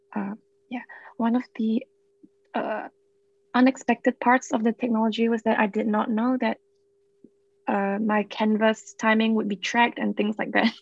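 A woman with a fairly high pitch speaks somewhat breathily in a monotone, flat intonation, leaving long, frequent pauses. The sound is dry and close, with no echo. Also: moderate pace. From Singapore. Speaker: university student. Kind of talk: casual chat.

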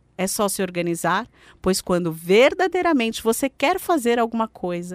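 A woman's fairly high voice with very wide pitch swings, in a dry, close sound with no echo and a very clean recording with a silent background. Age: 40s. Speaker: radio host and financial coach. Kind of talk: motivational radio talk. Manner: animated.

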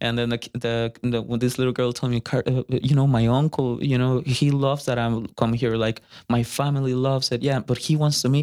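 A man in a Spanish accent, medium-pitched and monotone with flat intonation, at a fairly quick pace, with a dry, close sound, no echo, and a very clean recording over a silent background. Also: hardly any pauses. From Costa Rica. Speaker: musician. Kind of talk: casual chat. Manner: halting.

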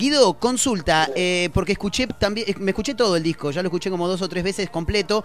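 Backed by music, a man with a Rioplatense accent speaks with lively intonation. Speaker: radio host. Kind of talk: casual interview. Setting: radio studio.

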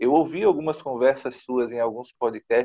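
A man talks at a fairly quick pace. The sound is dry and close with no echo, and the background is quiet. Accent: Brazilian. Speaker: journalist, interviewer. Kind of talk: interview. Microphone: recorded on a mobile phone.

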